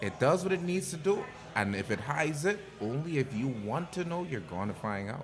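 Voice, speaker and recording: A man with a fairly high pitch, very wide pitch swings and a fairly quick pace, over noticeable background noise. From Bahamas. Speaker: podcast guest. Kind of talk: casual chat.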